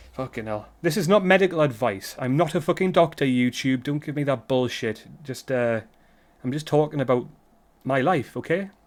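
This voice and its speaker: A man with a British accent speaks at a moderate pace, his pitch fairly high with ordinary variation. The recording is very clean, with a silent background. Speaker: vlogger. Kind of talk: casual monologue vlog. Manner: rambling, halting with false starts; stuttering.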